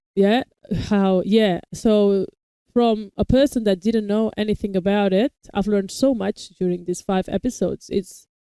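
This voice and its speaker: A woman with a non-native accent at a moderate pace, her medium-pitched voice dark and mellow, with fairly even intonation and a dry, close sound free of echo. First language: not English. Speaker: reaction video host. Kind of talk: casual review chat.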